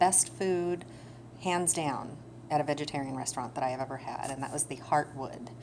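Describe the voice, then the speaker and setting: A woman speaks at a fairly quick pace in a very deep, low pitch with ordinary pitch variation. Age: 30s. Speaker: vlogger with chronic illness. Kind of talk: personal vlog talk. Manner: halting, many fillers.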